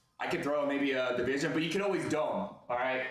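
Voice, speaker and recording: A man speaks at a fairly quick pace with ordinary pitch variation. Audible room echo and noticeable background noise are present. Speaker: live stream card breaker. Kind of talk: live sales stream. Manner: fast.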